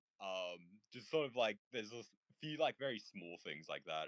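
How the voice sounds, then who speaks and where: With an Australian accent, a man talks at a moderate pace with ordinary pitch variation in a dry, close sound with no echo. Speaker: discord panel participant. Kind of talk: casual chat. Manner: hesitant, many fillers.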